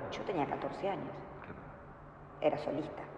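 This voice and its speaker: Noticeable background noise and audible room echo around a woman speaking at a moderate pace. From Argentina, grew up in San Francisco (Córdoba) and Salta. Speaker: ballet teacher and dancer. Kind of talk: interview.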